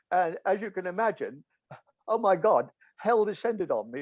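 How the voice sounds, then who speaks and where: With an English accent, the speaker goes at a moderate pace in a dry, close sound with no echo. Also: man. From England. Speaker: philosopher. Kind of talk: casual chat. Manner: halting.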